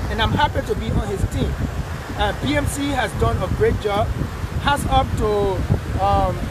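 Loud background noise sits under a man's voice, which has a dry sound with no echo. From Liberia. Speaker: official giving a site tour. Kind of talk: on-site interview. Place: waterside. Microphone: phone near.

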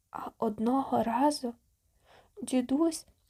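A woman speaks very slowly in a high pitch, her tone dark, mellow and gentle, on a very clean recording with a silent background. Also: dry, close sound with no echo. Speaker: audiobook narrator. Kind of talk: dramatic audiobook narration of a legend, reading aloud with character dialogue. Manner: expressive, gentle storytelling, softening for the child Marko and the kindly old man; dramatic, building tension in the storm scenes, trees rustling and fighting the wind.

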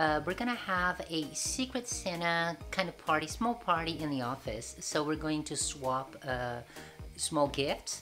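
A woman speaks with a very deep, low pitch at a fairly slow pace. Clear music plays in the background. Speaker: home cooking vlogger. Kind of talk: casual vlog chat. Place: kitchen. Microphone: phone near.

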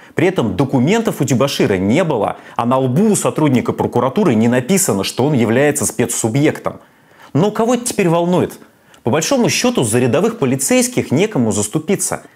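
A fairly quick pace against a quiet background. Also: man. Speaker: political commentator. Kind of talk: commentary. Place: kitchen. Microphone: lapel.

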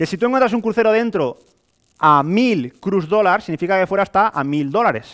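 A man with a high pitch and lively intonation at a fairly quick pace, over a quiet background. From Valencia, Spain; Spain. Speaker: network marketing presenter; presenter. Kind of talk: sales pitch. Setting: stage with audience. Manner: animated. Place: meeting room.

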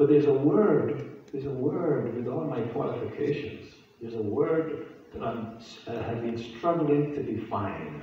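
A man speaks at a moderate pace with ordinary pitch variation, and strong room echo surrounds his voice. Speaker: preacher. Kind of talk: sermon. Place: church. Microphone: podium.

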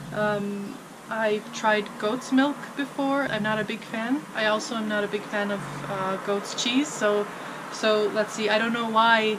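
Over noticeable background noise, a woman speaks at a fairly slow pace with fairly even intonation. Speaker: vlogger. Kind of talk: casual vlog chat. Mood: amused, slightly apprehensive. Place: garden.

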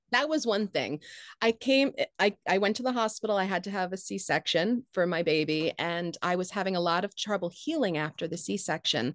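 Against a quiet background, a woman speaks at a fairly quick pace with lively intonation in a dry sound with no echo. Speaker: author and former journalist; interview guest. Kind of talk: casual interview chat. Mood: earnest, animated. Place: home room. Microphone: video call.

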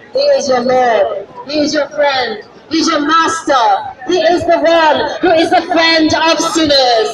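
A woman's extremely high voice at a fairly slow pace, very even in loudness with ordinary pitch variation, over crowd noise in the background. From London, UK. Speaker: street preacher. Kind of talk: street preaching, public sermon. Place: street. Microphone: camera far.

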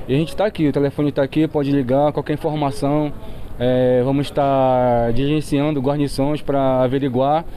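A man talks at a fairly high pitch and a fairly quick pace. Light background noise can be heard. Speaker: military police officer. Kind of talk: press statement. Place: street. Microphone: handheld.

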